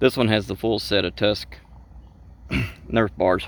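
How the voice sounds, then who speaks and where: A man speaks with a strong Southern US accent and vocal fry at a fairly low pitch. His pitch swings very widely. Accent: heavy Southern US. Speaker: ATV racer. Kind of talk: casual talk to camera. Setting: outdoors, earbud microphone.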